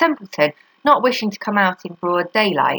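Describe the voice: Lively intonation runs through this plain reading aloud.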